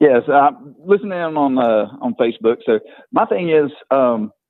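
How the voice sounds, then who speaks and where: Speaking in a Southern US accent, a man uses lively intonation at a medium pitch. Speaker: caller, hunter. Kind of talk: casual chat.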